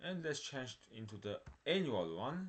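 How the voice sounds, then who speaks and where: A man talks at a fairly slow pace, his pitch swinging very widely. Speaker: stock market video creator. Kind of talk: screen-share stock analysis tutorial.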